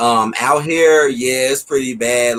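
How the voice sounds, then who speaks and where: At a moderate pace, a man with an American accent uses a normal speaking voice at a medium pitch with fairly even intonation. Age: 30s. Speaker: livestream talk show host. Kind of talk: casual interview chat.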